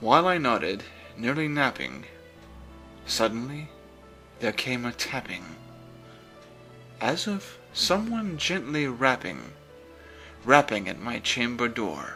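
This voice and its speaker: A man talks at a very slow pace with lively intonation and long, frequent pauses. Music plays in the background. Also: medium pitch for a man. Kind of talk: poetry reading. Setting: background music.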